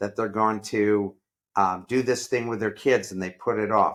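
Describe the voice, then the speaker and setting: With a normal speaking voice, a man talks at a moderate pace with fairly even intonation and a fairly low pitch. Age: 60s. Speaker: entrepreneur and professor. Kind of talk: interview.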